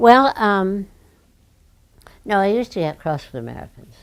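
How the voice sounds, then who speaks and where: Very wide pitch swings run through a woman's speech at a moderate pace. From London, England. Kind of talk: interview answer.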